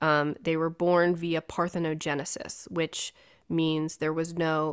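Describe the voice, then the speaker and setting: A woman speaks in a monotone with flat intonation. Her pitch is fairly low and her pace fairly slow. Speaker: podcast host at a bookshop. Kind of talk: casual chat. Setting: video call.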